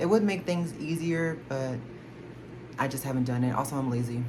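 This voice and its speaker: A woman with an American accent speaks at a very fast pace in a very deep, low pitch with fairly even intonation and audible room echo. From Texas, Houston. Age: 20s. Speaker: K-pop collector YouTuber. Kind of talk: casual Q&A vlog. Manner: rambling, filler-heavy. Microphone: no microphone, camera audio.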